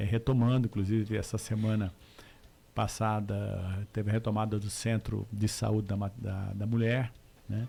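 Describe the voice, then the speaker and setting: A man with a strong Mato Grosso do Sul accent speaks at a moderate pace, his fairly low voice somewhat breathy, dark and mellow, with monotone, flat intonation. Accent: Corumbá accent, strong and lifelong. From Corumbá, Mato Grosso do Sul, Brazil. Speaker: politician. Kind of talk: radio interview. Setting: radio studio. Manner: hesitant, many fillers.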